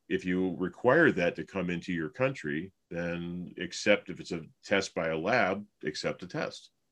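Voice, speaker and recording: Against a quiet background, a man speaks in a very deep, low pitch with fairly even intonation. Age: 50s. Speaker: chiropractor. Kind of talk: casual chat.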